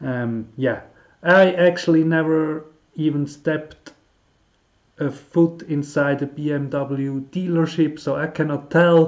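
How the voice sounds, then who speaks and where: With a Swiss German accent, a man speaks very slowly at a fairly high pitch and with fairly even intonation. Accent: non-native English, Swiss German. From Switzerland. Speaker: car hobbyist YouTuber. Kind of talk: tutorial. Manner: halting, many fillers.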